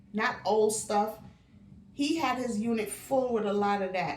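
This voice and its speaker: The delivery is fairly slow. Room echo can be heard. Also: woman. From Barbados. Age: 60s. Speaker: lifestyle vlogger. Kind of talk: casual monologue.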